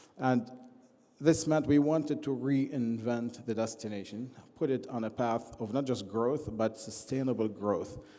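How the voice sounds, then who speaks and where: A dark, mellow tone comes through at a fairly slow pace, with audible room echo. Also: man. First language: not English. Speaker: project leader presenting at a forum. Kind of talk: conference speech. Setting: stage with audience. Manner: halting with many fillers.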